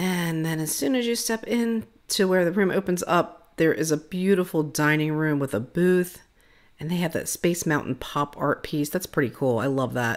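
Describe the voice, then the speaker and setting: A woman's fairly low voice with lively intonation, a moderate pace, and a quiet background. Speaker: vlogger giving a room tour. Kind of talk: casual vlog chat. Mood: cheerful, enthusiastic. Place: home room. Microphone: phone near.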